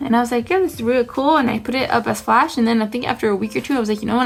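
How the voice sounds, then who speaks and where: The pitch variation in this woman's voice is ordinary. Noticeable background noise sits behind her. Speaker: tattoo artist. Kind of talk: casual chat. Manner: rambling, chatty.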